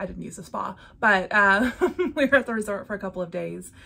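This woman's voice has a bright, sharp tone. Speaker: cross-stitch vlogger. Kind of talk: casual vlog chat. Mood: cheerful, laughing often. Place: home room.

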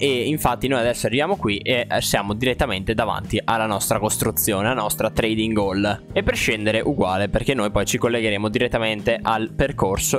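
A fairly low-pitched man at a fairly quick pace, with hardly any pauses, very even loudness, ordinary pitch variation, and clear music in the background. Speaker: gaming video creator. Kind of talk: gameplay commentary. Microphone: studio mic.

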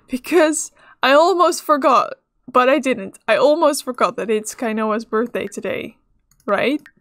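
At a fairly slow pace, a woman speaks in a high pitch, recorded dry and close with no echo. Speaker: gaming youtuber. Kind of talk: gameplay commentary. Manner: casual, chatty.

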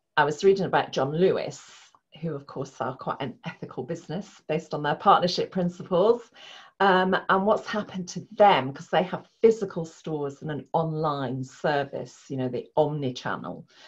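A somewhat breathy woman's voice, fairly low in pitch, with ordinary pitch variation, a moderate pace and a quiet background. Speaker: guest. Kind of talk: interview answer. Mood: warm, smiling. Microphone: video call.

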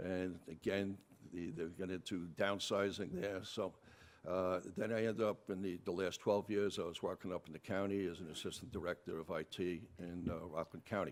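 With a New York accent, a man talks at a moderate pace in a very deep, low pitch and a monotone, flat intonation. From New York City, Bronx. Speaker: political candidate. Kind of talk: debate opening statement. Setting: town hall with audience.

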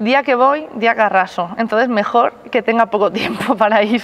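Speaking at a moderate pace, a woman keeps a fairly high pitch and fairly even intonation. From Spain. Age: 20s. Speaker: rhythmic gymnast, team captain. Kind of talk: interview answers. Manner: laughing, cheerful. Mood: relaxed, smiling. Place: gym. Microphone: lapel.

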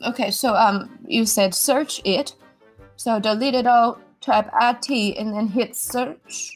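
Against faint background music, a woman speaks at a very slow pace with fairly even intonation. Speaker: caller. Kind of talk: comedic phone conversation. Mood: exasperated, apologetic. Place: home room.

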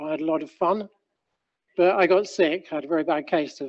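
Against a quiet background, a man speaks at a high pitch. His pace is moderate. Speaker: presenter. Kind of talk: lecture. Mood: relaxed, lightly humorous.

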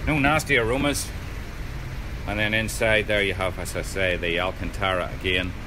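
A man talks at a fairly quick pace. Noticeable background noise can be heard. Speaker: car salesman. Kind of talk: sales walkaround commentary. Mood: upbeat persuasive. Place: shop. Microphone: phone near.

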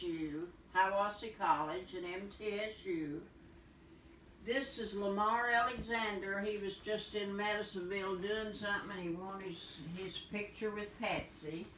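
A woman talks at a fairly slow pace with fairly even intonation. Room echo is audible, along with light background noise. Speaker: host showing family photos. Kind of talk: casual conversation. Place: home room.

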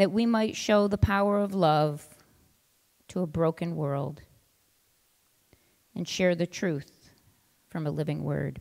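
A woman speaks slowly in a low pitch with vocal fry and a slightly mellow tone. Her intonation stays fairly even.

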